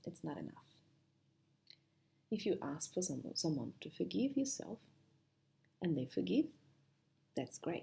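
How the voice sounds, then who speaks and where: A woman with a strong non-native accent speaks in a dark, mellow tone with vocal fry and a fairly low pitch. Her pitch swings very widely, and she takes long, frequent pauses. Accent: heavy foreign. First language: not English. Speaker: spiritual self-help speaker. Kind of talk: motivational talk to camera.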